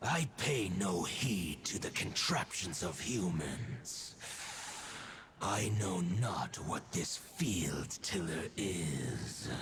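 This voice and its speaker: A put-on character voice speaks at a very slow pace over clear background noise. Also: man, very deep, low pitch for a man. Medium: video game. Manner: stately, archaic.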